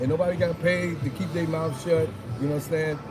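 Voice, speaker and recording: A fairly high-pitched male voice with audible room echo and noticeable background noise. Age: 60s. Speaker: hip-hop veteran. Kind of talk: casual interview. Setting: on a film set. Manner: animated.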